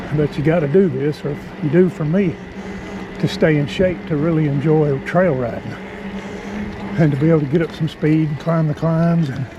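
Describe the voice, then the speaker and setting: A man with a fairly high pitch speaks at a moderate pace with long, frequent pauses. His pitch variation is ordinary, and there is noticeable background noise. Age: 60s. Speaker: vlogger, mountain biker. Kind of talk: casual vlog narration while riding. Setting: outdoors on a mountain bike trail. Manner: breathy, panting between phrases.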